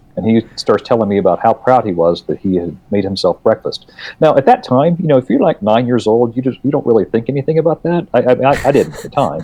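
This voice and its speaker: A man with an American accent speaks at medium pitch and a fairly quick pace, his dark, mellow tone marked by vocal fry and very wide pitch swings, in a dry, close sound with no echo. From rural West Virginia. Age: 50s. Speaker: children's book author. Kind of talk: casual chat.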